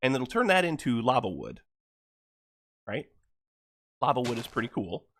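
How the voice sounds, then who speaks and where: At a moderate pace and medium pitch, a man speaks with vocal fry and long, frequent pauses. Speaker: gaming video creator. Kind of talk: let's play commentary. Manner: casual, halting with fillers.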